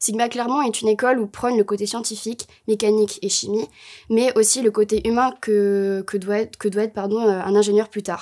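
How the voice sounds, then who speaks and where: A woman with a dark, mellow tone talks at a fairly quick pace in a flat monotone against a quiet background. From Bordeaux, southwest France; France. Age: 20s. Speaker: engineering student. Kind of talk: promotional interview. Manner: hesitant, many fillers. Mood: calm, slightly nervous. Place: studio.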